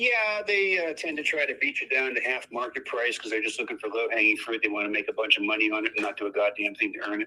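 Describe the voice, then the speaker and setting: A man talking at a very fast pace with hardly any pauses, over noticeable background noise. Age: 60s. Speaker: landlord selling property. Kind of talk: phone negotiation. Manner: blunt, casual.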